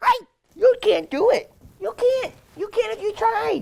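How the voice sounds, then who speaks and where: A squeaky, put-on character voice pitched extremely high. The delivery keeps a moderate pace. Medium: short film.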